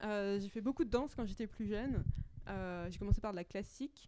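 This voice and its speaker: At a fairly quick pace, a woman speaks in a dark, mellow tone with a fairly high pitch and ordinary pitch variation. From Paris suburbs, France (Hauts-de-Seine). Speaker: astrophysicist. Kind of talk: interview.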